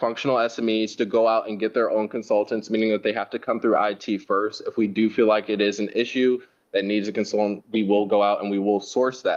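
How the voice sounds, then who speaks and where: The speaker talks in a flat monotone at a fairly quick pace against a quiet background. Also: man. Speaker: IT manager presenting to board. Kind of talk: board meeting presentation. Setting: board meeting. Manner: fast.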